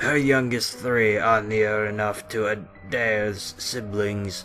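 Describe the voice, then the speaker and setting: A man puts on a character voice at a medium pitch, speaking very slowly over clear background music. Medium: actual play.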